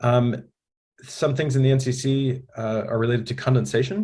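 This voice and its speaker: A man talks with an American accent at a medium pitch. His voice is somewhat breathy. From United States. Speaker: building science trainer. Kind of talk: webinar presentation. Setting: online webinar. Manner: casual, frequent fillers.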